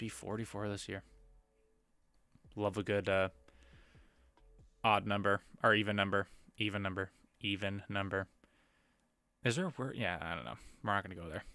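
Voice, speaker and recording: A man's fairly low voice at a fairly quick pace, with fairly even intonation, long, frequent pauses and music in the background. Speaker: live streamer. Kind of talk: casual livestream chat. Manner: lower energy, subdued.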